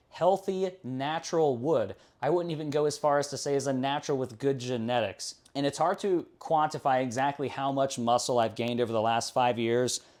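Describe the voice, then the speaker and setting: Here a man with an ordinary speaking voice talks at a moderate pace in a fairly high pitch. His pitch variation is ordinary, and the recording is very clean with a silent background. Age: 20s. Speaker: fitness vlogger. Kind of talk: personal vlog.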